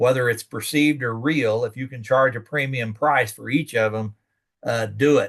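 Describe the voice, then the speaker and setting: This is a plain, everyday voice at a moderate pace. Its pitch varies in an ordinary way. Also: man. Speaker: extension educator. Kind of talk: lecture.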